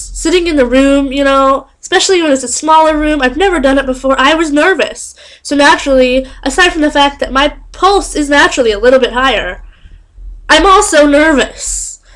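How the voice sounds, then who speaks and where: Loud and high-pitched, a woman talks at a fairly quick pace. Her pitch varies in an ordinary way. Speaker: vlogger. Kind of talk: casual vlog storytelling. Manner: animated.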